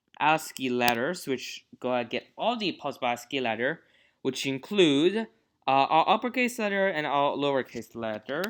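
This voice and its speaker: At a moderate pace, the voice comes through on a very clean recording with a silent background. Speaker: programming tutorial youtuber. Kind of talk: tutorial. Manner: halting, many fillers.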